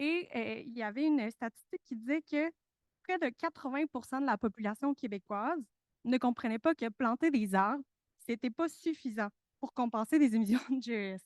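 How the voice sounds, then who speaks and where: A woman with a Spanish accent and a high pitch at a moderate pace, with a quiet background and a dry, close sound with no echo. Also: ordinary pitch variation. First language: Spanish (speaking French). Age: young. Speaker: researcher, conference participant. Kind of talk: panel talk. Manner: hesitant, many fillers and repetitions.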